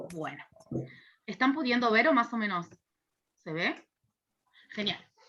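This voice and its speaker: A woman speaks at a fairly slow pace in a fairly high voice with a bright, sharp tone. Her pitch swings very widely. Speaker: university lecturer in social work. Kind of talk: lecture. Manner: hesitant fillers.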